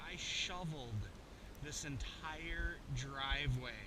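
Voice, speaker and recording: Noticeable background noise and audible room echo surround a man speaking at a very slow pace. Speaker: travel vlogger. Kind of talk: casual vlog. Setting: outdoors. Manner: loud.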